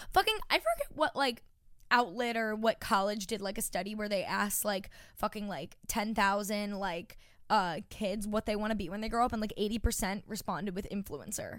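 In an ordinary speaking voice, a woman with an American accent talks at a moderate pace and fairly high pitch. Her pitch varies in an ordinary way, and the recording is very clean with a silent background. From Long Island, New York. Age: 20s. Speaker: podcast co-host. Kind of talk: casual chat.

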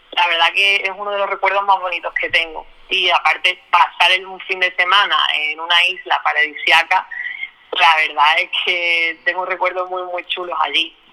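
Over noticeable background noise, a woman speaks at a moderate pace with a medium pitch and monotone, flat intonation. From Spain, Málaga (Andalusia). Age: 30s. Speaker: volunteer, sales promoter. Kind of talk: testimony interview. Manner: halting, repeats words.

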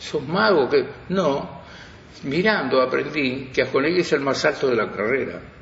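Fairly slow speech amid audible room echo and noticeable background noise. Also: man. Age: 80s+. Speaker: veteran radio broadcaster. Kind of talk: interview reminiscence.

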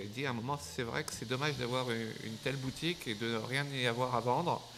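Noticeable background noise sits behind a man's voice. He speaks at medium pitch with ordinary pitch variation. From France, Burgundy (Dijon). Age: 50s. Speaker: gin entrepreneur. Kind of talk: interview. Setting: his shop. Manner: halting, repeated words.

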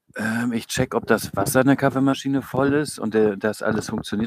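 Ordinary pitch variation in a dry, close recording with no echo. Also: man. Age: 30s. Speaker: church youth leader. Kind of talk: casual chat. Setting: outdoors, in a garden.

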